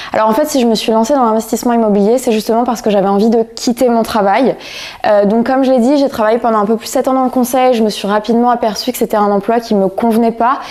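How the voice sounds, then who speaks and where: Over noticeable background noise, a woman talks at a very fast pace in a fairly high pitch with fairly even intonation. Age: 30s. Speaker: real estate investor, former consultant. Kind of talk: interview.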